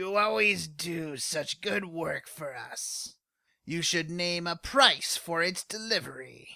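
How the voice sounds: A put-on character voice, croaky and husky, sits at a middle pitch. It moves at a fairly slow pace.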